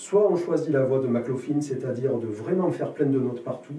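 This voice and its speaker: Speech moves at a fairly quick pace with ordinary pitch variation. There is light background noise and audible room echo. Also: man. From southern France. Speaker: jazz guitarist and teacher; teacher. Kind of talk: interview. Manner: halting, many hesitations. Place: studio.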